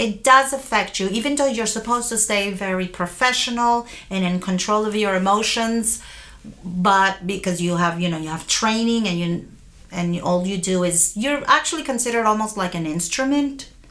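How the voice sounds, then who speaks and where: The voice has a bright, sharp tone and ordinary pitch variation, with audible room echo. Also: woman, medium pitch for a woman, moderate pace. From Puerto Rico and US mainland. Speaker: court interpreter. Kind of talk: interview.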